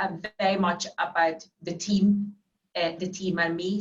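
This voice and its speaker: A woman with a fairly low pitch talks in a monotone, flat way. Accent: Finnish. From Finland. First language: Finnish. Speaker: financial services executive. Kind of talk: interview. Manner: halting, frequent repetitions.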